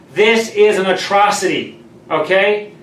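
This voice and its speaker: Loud and high-pitched, a man speaks amid noticeable background noise and audible room echo. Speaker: mortgage lender video host. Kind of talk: live stream talk.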